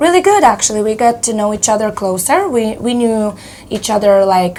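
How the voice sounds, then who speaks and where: A woman's fairly high voice moves at a moderate pace, its pitch varying in an ordinary way, while noticeable background noise runs underneath. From Moldova. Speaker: metal band vocalist. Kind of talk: interview.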